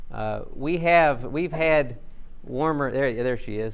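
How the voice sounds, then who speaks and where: Amid audible room echo, a man in a Southern US accent talks at a medium pitch with ordinary pitch variation. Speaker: agricultural researcher. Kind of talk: conference presentation.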